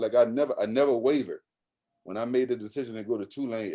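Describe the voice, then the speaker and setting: Talking at a very fast pace, a man with a New Orleans accent has a medium pitch. His tone is dark and mellow. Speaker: college basketball coach. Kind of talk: podcast interview answer. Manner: casual, animated storytelling.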